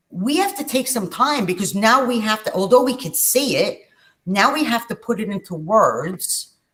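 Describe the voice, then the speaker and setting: A woman with a New York accent, fairly high pitch, lively intonation and a moderate pace. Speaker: spiritual channel host. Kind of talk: casual chat.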